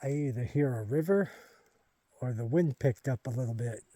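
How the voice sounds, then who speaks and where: A man with a medium pitch and a dark, mellow, somewhat breathy tone speaks with ordinary pitch variation. He leaves long, frequent pauses, and the sound is dry and close with no echo. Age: 50s. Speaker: hiking vlogger. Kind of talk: outdoor walking vlog narration. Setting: outdoors on a forest trail. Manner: casual, conversational.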